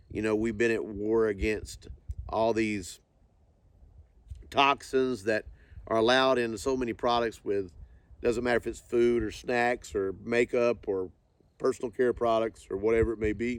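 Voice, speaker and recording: Speaking at a moderate pace, a man uses medium pitch and fairly even intonation. Long pauses come often. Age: 60s. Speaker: company CEO. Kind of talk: interview. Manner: halting.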